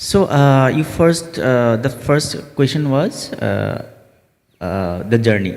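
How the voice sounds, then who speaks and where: Speaking at a very slow pace, a man uses lively intonation and an Assam accent. His pitch is medium. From Assam, India. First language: Assamese. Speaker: theatre director. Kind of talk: panel interview. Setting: festival meet-the-artists session. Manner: halting, many fillers.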